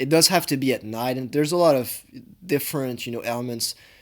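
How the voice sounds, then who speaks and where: Lively intonation marks a man speaking at a fairly quick pace. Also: very clean recording, silent background. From France. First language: French. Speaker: law student commentator. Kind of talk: reaction commentary. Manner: halting.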